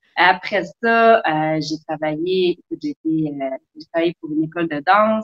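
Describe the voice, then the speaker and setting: A woman with a fairly low pitch speaks at a moderate pace, using ordinary pitch variation. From Quebec, South Shore of Montreal. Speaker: sailor and travel blogger. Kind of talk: casual interview.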